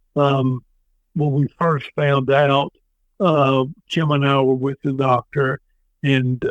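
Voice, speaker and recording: A man talks in a Tennessee accent. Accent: Tennessee Southern. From US South. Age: 60s. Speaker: former state politician and veteran. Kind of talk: podcast interview. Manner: halting with many fillers.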